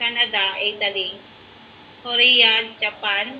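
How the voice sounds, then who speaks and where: Her voice is high in pitch for a woman. Light background noise runs underneath. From Philippines, Negros Oriental (Visayas). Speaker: network marketing coach. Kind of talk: testimony. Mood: encouraging, confident. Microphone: video call.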